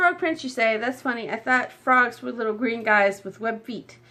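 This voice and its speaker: A woman's croaky put-on character voice, fairly high in pitch, with ordinary pitch variation at a moderate pace. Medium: read story. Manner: sly, menacing.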